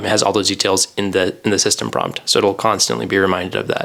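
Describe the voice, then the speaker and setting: Speaking at a very fast pace with a fairly low pitch, a man with an American accent is heard over noticeable background noise. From US, Idaho. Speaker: podcast co-host, software engineer. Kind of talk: casual chat.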